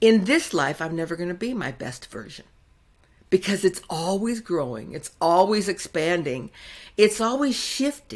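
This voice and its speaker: Her pitch swinging very widely, a woman speaks at a moderate pace. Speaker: podcast host. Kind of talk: podcast intro monologue. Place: home room.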